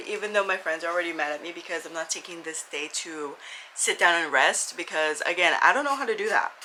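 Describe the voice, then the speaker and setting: Over noticeable background noise, a woman with an American accent talks at a fairly quick pace with ordinary pitch variation. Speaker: lifestyle and book vlogger. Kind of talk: casual vlog chat. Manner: talkative.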